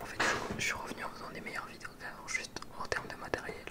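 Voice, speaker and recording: A man whispers at a very fast pace. Noticeable background noise runs underneath. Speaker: ASMR creator. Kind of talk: casual talk to camera about his recording setup. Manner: relaxed, conversational.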